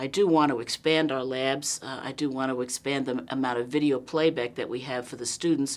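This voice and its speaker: Speaking in a New York accent, a woman has a very deep, low voice. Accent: New York, noticeable. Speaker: nursing college dean. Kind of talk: interview. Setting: simulation lab on campus.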